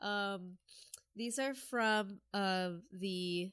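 A woman at medium pitch with a fairly bright tone and ordinary pitch variation.

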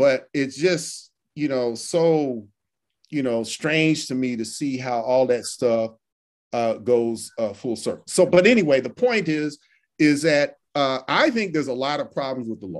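Quiet sits in the background as a man talks at a fairly high pitch. He keeps a fairly slow pace with ordinary pitch variation. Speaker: law professor. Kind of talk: interview. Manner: halting.

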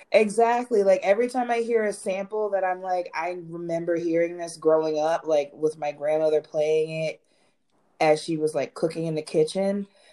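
Here a woman with an ordinary speaking voice talks at a moderate pace and fairly low pitch, using ordinary pitch variation. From Philadelphia area, Pennsylvania. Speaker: content creator and musician. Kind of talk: casual chat.

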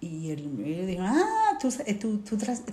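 There is noticeable background noise and audible room echo. A woman talks at a moderate pace. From Colombia. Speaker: sociologist, displaced migrant. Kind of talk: interview testimony.

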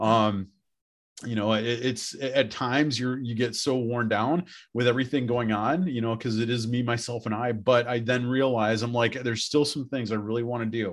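At a moderate pace, a man with an American accent uses an ordinary speaking voice, medium in pitch and fairly even in intonation, over a quiet background. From Wisconsin, Beloit. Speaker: high school principal. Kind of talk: casual interview chat.

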